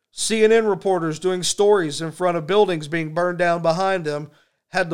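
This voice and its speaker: A man with an American accent speaks at a moderate pace in a high pitch. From Texas. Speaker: political podcast host. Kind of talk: political commentary monologue. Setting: recorded video podcast. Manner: animated.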